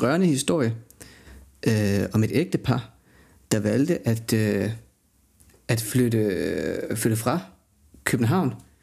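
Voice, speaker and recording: A man speaks at a very slow pace with a medium pitch. His tone is dark and mellow, with ordinary pitch variation. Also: very clean recording, silent background. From Denmark, Jutland (Højslev near Skive). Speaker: podcast co-host. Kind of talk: casual chat. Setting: studio. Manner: halting, many fillers.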